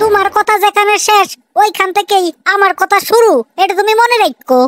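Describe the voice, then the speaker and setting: A woman performs a cartoonish character voice at an extremely high pitch and a moderate pace. Her loudness stays very even, and the sound is dry and close with no echo. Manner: scolding, sharp.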